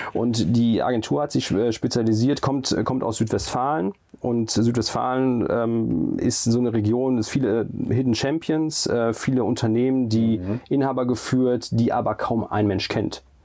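Against noticeable background noise, a man at medium pitch speaks at a fairly slow pace with very even loudness. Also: ordinary pitch variation. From Germany, Siegen area. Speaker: hotel group executive. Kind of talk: interview. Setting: in a hotel room. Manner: hesitant, many fillers.

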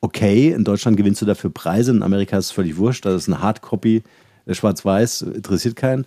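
Very fast and very even in loudness, a man speaks at a fairly low pitch with ordinary pitch variation and a dark, mellow tone, the sound dry and close with no echo in a very clean recording with a silent background. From Halle, eastern Germany. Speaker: company founder and podcast host. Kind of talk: interview. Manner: hesitant fillers.

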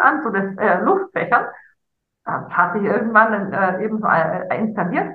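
Audible room echo surrounds this woman's fairly high voice. She speaks at a moderate pace. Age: 50s. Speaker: life coach. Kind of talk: casual chat.

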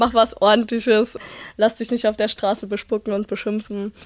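In a very clean recording with a silent background, a woman talks in a fairly high voice with fairly even intonation, an ordinary speaking voice. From Rhineland-Palatinate, Germany. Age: 20s. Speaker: police student and union youth official. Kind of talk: casual chat.

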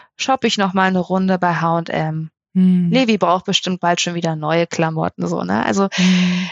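A woman speaks at a moderate pace with very even loudness and ordinary pitch variation. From northern Germany, Melle near Osnabrück. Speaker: family and wedding photographer. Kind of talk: casual chat. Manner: hesitant, many filler sounds.

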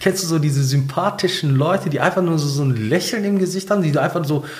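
Noticeable background noise behind a man's fairly high voice, ordinary pitch variation and fairly quick pace. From Ruhr area, Germany (Bottrop). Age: 40s. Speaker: pastor. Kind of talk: interview storytelling. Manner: animated storytelling.

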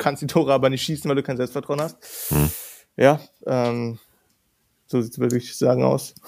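A man speaks at a moderate pace, leaving long, frequent pauses. His intonation is lively. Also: medium pitch for a man. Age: 20s. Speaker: content creator. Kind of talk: casual chat.

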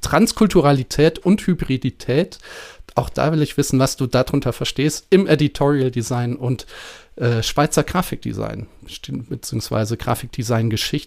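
A man with a medium pitch and vocal fry speaks at a fairly slow pace with ordinary pitch variation, in a dry, close sound with no echo. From northern Germany (Prussia). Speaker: podcast host, design researcher. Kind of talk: casual academic conversation.

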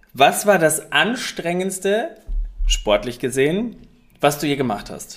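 A man with a high pitch and lively intonation speaks at a very slow pace, with long, frequent pauses. His loudness swings widely, and music plays in the background. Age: 30s. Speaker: podcast co-host and fitness coach. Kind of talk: casual chat.

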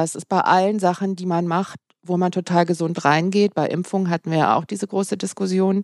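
A woman with a plain, everyday voice speaks at a medium pitch and a fairly quick pace, her intonation fairly even, in a dry, close recording with no echo that is very clean against a silent background. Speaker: pharmacist and health journalist. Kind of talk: interview conversation. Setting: at her workplace.

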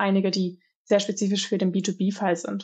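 A woman with a medium pitch sounds somewhat breathy, her intonation fairly even. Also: quiet background. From Germany, Aachen. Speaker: research scientist. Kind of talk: podcast interview.

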